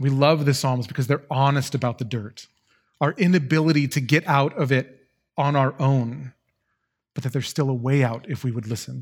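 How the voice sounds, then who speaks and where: A man speaks at a moderate pace with a fairly high pitch. His intonation stays fairly even, and his voice is somewhat breathy. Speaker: guest preacher. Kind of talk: sermon. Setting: church. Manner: monotone.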